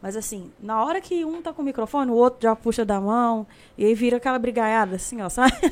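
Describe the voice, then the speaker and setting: Her intonation is lively and her pace fairly quick. This woman's pitch sits fairly high. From Brazil, Uberlândia, Minas Gerais. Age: 20s. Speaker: singer. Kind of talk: casual chat.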